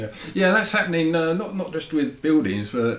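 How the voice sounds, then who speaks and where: Amid noticeable background noise and audible room echo, a man with an English accent talks at a fairly high pitch with very wide pitch swings. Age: 50s. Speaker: interviewer. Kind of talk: interview. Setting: home studio.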